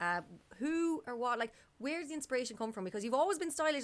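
Very fast speech from a woman with an Irish accent and very wide pitch swings. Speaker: podcast co-host. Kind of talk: casual chat. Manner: hesitant, many fillers.

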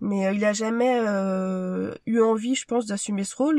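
Pitch rises and falls in an ordinary way. The speaker is a woman. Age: 30s. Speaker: medical secretary. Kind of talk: testimony. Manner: halting.

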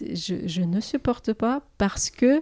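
Speaking in a Russian accent, a woman has a fairly high pitch, a dark, mellow tone and lively intonation, recorded with a dry, close sound with no echo. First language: Russian (speaking French). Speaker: lawyer. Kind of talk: interview.

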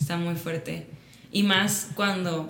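The clip has noticeable background noise and audible room echo. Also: woman. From Mexico, Sinaloa (Mazatlán). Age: 20s. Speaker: content creator. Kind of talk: casual chat. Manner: animated.

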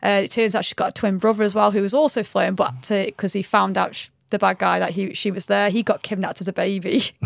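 A woman talks at a very fast pace. Her voice carries vocal fry. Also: medium pitch for a woman, ordinary pitch variation. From Stoke-on-Trent, England. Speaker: personal trainer. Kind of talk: casual chat.

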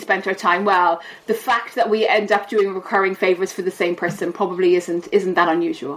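Over noticeable background noise, a woman with an Irish accent speaks at a fairly quick pace. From Ireland. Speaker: behavioural science professor. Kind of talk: casual interview.

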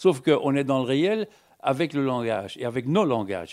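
Medium in pitch, a man with an unremarkable speaking voice talks with lively intonation in a very clean recording with a silent background. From Belgium. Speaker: philosopher and writer. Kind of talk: public panel discussion.

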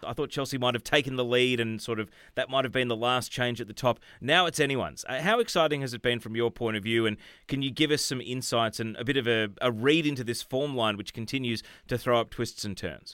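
In an Australian accent, a man speaks at a medium pitch with a bright, sharp tone. His pitch varies in an ordinary way, on a very clean recording with a silent background. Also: fairly quick pace. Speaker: podcast host. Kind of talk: casual chat; scripted outro.

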